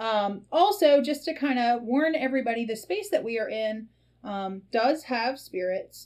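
A woman's high-pitched voice with lively intonation, a fairly slow pace and an American accent. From US Deep South. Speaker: podcast host, tea leaf reader and shop owner. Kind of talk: casual chat. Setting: shop. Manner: hesitant, frequent ums.

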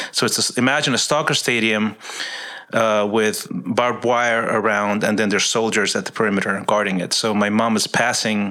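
With noticeable background noise, a man speaks at a moderate pace in a fairly low pitch. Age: 50s. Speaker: ministry worker. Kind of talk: casual chat.

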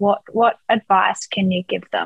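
A woman speaks at a fairly slow pace and medium pitch with an Australian accent. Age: 20s. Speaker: podcast host. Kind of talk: interview.

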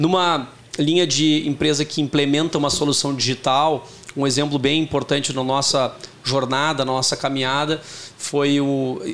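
A fairly high male voice at a moderate pace, monotone and flat in intonation, very even in loudness, over noticeable background noise. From Porto Alegre, southern Brazil. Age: 40s. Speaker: tech company CEO. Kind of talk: interview.

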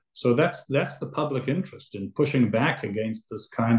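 A man talks at a moderate pace in a medium pitch, somewhat breathy. His pitch moves in an ordinary way. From South Africa, moved to Toronto as a child. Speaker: litigation lawyer. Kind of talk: interview.

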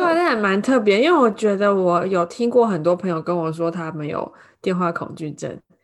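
At a moderate pace, a woman speaks with a medium pitch and ordinary pitch variation against a quiet background. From Taiwan. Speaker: podcast co-host, Chinese-speaking nanny. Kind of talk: casual chat.

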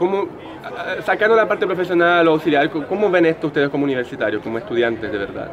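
Very fast and fairly high, a man's voice swings very widely in pitch. Noticeable background noise is present. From Brazil. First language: Portuguese (speaking Spanish). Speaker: street interviewer. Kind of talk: interview. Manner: halting.

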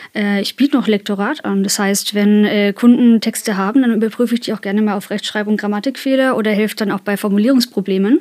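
A woman's fairly high voice, very fast with hardly any pauses and fairly even intonation. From Kulmbach, Upper Franconia, Germany. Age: 30s. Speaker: freelance copywriter. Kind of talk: casual interview chat. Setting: recording studio.

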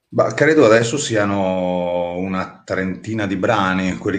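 Very deep and low, a man's voice moves at a moderate pace amid audible room echo. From Trentino, northern Italy. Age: 30s. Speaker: singer-songwriter. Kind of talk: interview. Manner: hesitant, many fillers and repetitions.

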